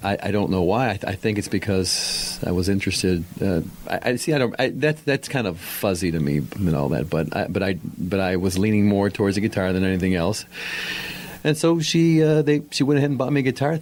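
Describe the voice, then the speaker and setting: Noticeable background noise sits behind a man's fairly low voice. He speaks fairly quickly, with very wide pitch swings and very even loudness. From Argentina (Buenos Aires), moved to US at age five. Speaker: local guitarist and musician. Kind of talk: casual podcast interview. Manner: halting, many repetitions.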